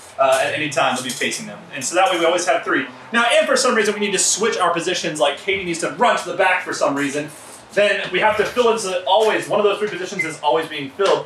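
A man speaks at a very fast pace in a high voice, with light background noise and audible room echo. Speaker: improv host. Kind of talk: explaining game rules to players. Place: garage.

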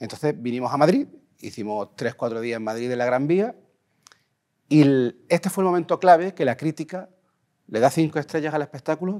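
This man speaks at a fairly quick pace with lively intonation. The background is quiet. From Andalusia, Spain (Huelva); Andalusia, Spain. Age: 40s. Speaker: composer and music producer. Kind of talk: interview. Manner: halting, repeats words. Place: studio. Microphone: lapel.

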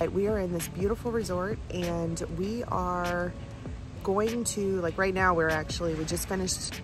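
Clear music plays behind a woman speaking at a moderate pace, her voice dry with no echo. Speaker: travel vlogger. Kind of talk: casual vlog chat. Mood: excited, cheerful. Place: garden. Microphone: phone near.

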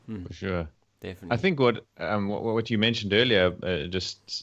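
A man speaks with a South African accent and fairly even intonation. His pace is fairly quick over a quiet background. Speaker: podcast host. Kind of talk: casual chat. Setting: video call. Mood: friendly, engaged. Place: home room. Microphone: studio mic.

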